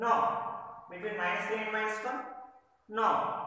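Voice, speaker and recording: In a room with strong echo, a man talks in a raised, projected voice at a fairly slow pace. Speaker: maths teacher. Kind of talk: lecture. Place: classroom.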